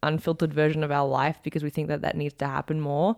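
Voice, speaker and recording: This very clean recording has a silent background. In it, a woman with an American accent talks with a very deep, low pitch. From Australia. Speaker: podcast co-host, personal trainer. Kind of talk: casual chat. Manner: awkward.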